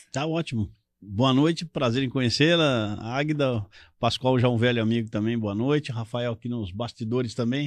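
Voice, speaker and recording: A plain, everyday voice moves at a moderate pace. Its pitch varies an ordinary amount over a quiet background. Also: man, medium pitch for a man. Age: 60s. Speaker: politician, retired military police officer. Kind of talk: live talk show interview.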